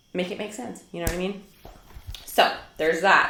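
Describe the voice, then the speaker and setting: Heard through noticeable background noise and audible room echo, a woman with a strong Minnesotan accent speaks with ordinary pitch variation. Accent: thick Minnesota. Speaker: homeschool vlogger. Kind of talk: casual talk to camera. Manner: chatty, many fillers.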